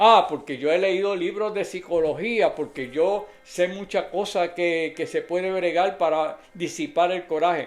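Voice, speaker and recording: With hardly any pauses, a man in a high voice talks at a fairly slow pace and ordinary pitch variation. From Puerto Rico (Adjuntas). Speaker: lay preacher. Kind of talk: sermon.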